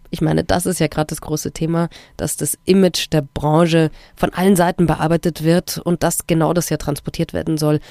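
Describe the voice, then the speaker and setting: A woman's fairly low, dark, mellow voice at a fairly quick pace, monotone and flat, with a dry, close sound with no echo and a very clean recording over a silent background. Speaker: podcast co-host. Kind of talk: show moderation.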